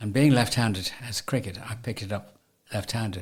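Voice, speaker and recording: His voice sits at a medium pitch. The man sounds somewhat breathy. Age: 80s+. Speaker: veteran hockey player. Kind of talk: interview answer. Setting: studio.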